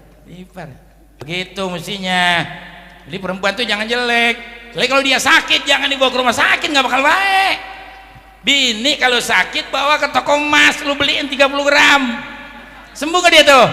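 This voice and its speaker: Over noticeable background noise, a man with an extremely high pitch projects his raised voice at a fairly quick pace, with lively intonation and big swings in loudness. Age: 60s. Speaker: Islamic cleric. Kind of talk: sermon. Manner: animated.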